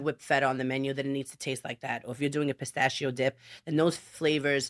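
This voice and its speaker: A woman with a Brooklyn accent speaks very fast in a very deep, low voice, her intonation flat and monotone. The sound is dry and close with no echo, on a very clean recording with a silent background. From Brooklyn, New York. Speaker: chef. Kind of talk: interview answer.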